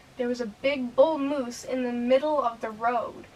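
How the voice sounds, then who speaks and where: A woman's fairly high voice carries fairly even intonation. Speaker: youtuber. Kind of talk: testimony. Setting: in her room. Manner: halting.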